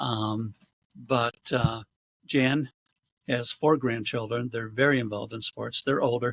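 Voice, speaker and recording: Recorded with a dry, close sound and no echo, a man speaks at medium pitch in a monotone, flat way, at a fairly slow pace with long, frequent pauses. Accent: American. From western New York, US. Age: 70s. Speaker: real estate agent. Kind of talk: casual interview. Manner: hesitant, many fillers.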